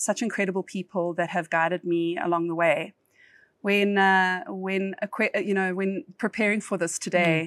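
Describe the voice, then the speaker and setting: With a South African accent, a woman speaks at a moderate pace and medium pitch. Her intonation stays fairly even, with a dry, close sound and no echo. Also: very clean recording, silent background. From South Africa, East Rand (Johannesburg). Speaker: corporate lawyer. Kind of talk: podcast interview.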